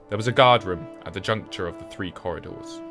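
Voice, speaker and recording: With music behind him, a man talks at a medium pitch. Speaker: voice actor. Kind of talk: documentary lore narration.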